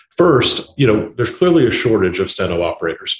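This man's voice is somewhat breathy. He has an American accent. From Indiana, US Midwest. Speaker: tech company founder and CEO. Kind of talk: podcast interview.

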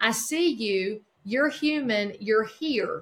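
Fairly high female voice, ordinary pitch variation throughout. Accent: Southern US. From North Carolina, near Charlotte. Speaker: real estate broker. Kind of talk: interview.

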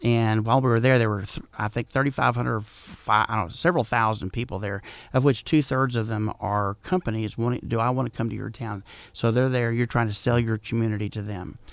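A fairly quick speaker with a Texan accent keeps fairly even intonation on a very clean recording with a silent background. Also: man, medium pitch for a man. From Texas, San Antonio. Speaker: small-town mayor. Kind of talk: radio interview. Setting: studio.

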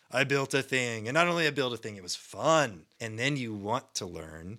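A man with an American accent speaks at a moderate pace, his bright, sharp tone carried by lively intonation. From US. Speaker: software developer, open source core team member. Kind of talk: casual interview.

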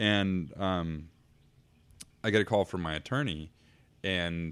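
A man speaks in an American accent with a very deep, low pitch. His pitch shows ordinary variation. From US Pacific Northwest. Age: 30s. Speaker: entrepreneur. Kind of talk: casual chat.

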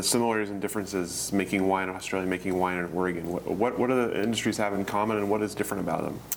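A man's fairly low voice with ordinary pitch variation amid noticeable background noise. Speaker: oral history interviewer. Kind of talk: interview questions. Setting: in-person interview in a library.

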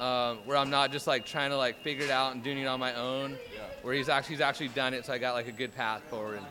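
Very fast and with hardly any pauses, a man talks in an American accent at medium pitch. His intonation is monotone and flat, over noticeable background noise. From Southern California. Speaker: startup founder. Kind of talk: street interview.

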